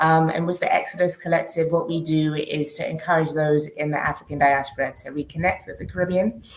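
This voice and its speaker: In a British accent, a woman with a very deep, low voice speaks at a moderate pace in a monotone, flat delivery. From UK. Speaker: diaspora relocation organizer. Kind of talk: panel discussion.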